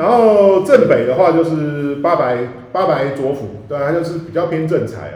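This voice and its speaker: In audible room echo with noticeable background noise, a man speaks at a moderate pace. His pitch is high, his intonation lively, and his loudness swings widely. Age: middle-aged. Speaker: podcast co-host, feng shui teacher. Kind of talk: casual chat. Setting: room with echo in a new home.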